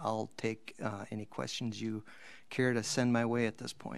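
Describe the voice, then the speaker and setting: At a moderate pace, a man talks in a fairly low voice. It is a plain, everyday voice. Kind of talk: presentation to a council. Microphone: video call.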